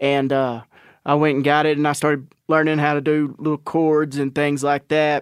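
A man speaks with an East Texas accent at a fairly high pitch. His delivery is a flat monotone with very even loudness, on a very clean recording with a silent background. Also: moderate pace. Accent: East Texas Southern. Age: 30s. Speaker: country rock musician. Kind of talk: casual chat.

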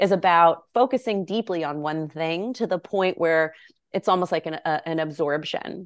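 With a quiet background, a woman speaks in an unremarkable speaking voice, fairly low in pitch with ordinary pitch variation. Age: 40s. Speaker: yoga teacher and author. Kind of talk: interview.

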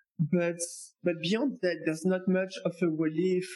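Speaking at a fairly slow pace, a man talks with a French accent. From France. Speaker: tax accountant. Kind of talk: interview.

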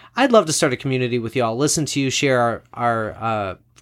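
A man's normal speaking voice, medium-pitched and fairly even in intonation, at a fairly quick pace on a very clean recording with a silent background. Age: 30s. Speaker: podcast host and ninth grade English teacher. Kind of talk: casual chat.

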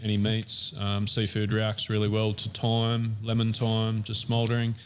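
A man with an Australian accent, fairly low in pitch, at a moderate pace with monotone, flat intonation. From Australia, Central Coast NSW. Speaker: chef and barbecue shop owner. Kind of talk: casual interview. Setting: in a shop during opening weekend.

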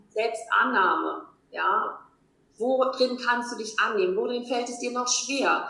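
A woman talks at a very slow pace, with audible echo from the room. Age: 40s. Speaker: life coach. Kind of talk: interview.

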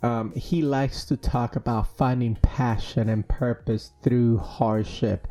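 At a very slow pace with hardly any pauses, a man speaks in a dark, mellow tone at a medium pitch with ordinary pitch variation. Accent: Spanish. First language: Spanish. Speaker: podcast host. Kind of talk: casual interview chat. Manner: hesitant, many fillers.

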